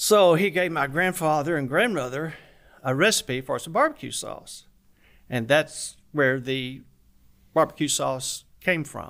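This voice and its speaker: Spoken at a fairly slow pace with a Southern US accent, this voice has ordinary pitch variation and big swings in loudness, on a very clean recording with a silent background. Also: man, fairly high pitch for a man. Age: 70s. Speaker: barbecue restaurant owner. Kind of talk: interview.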